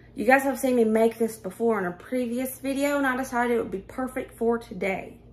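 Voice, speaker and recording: In an animated tone, a woman speaks at a moderate pace with a high pitch. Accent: Southern US. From US South. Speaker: cooking and budget vlogger. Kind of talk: casual cooking tutorial. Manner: chatty, animated.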